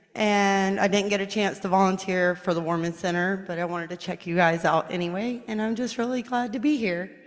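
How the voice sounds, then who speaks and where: A woman at a medium pitch with ordinary pitch variation, fairly quick and hardly pausing, in audible room echo. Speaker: first-time visitor. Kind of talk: self-introduction. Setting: church. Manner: loud.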